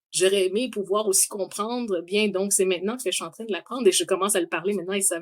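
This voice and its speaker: A woman at medium pitch, with ordinary pitch variation and a fairly quick pace. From Quebec, Montreal. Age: 40s. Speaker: engineer. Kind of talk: interview. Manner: hesitant.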